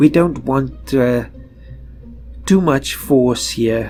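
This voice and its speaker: A man's voice with music in the background. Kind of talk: casual gameplay commentary. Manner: relaxed, thinking aloud.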